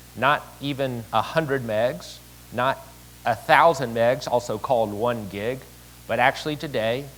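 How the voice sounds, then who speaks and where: A man with a Southern US accent speaks at a fairly slow pace. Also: medium pitch for a man, ordinary pitch variation. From Tennessee, Chattanooga. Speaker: city mayor. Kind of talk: conference speech.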